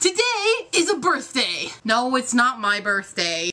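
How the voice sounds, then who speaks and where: This woman's voice is high in pitch, and noticeable background noise can be heard behind it. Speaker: vlogger. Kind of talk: casual vlog.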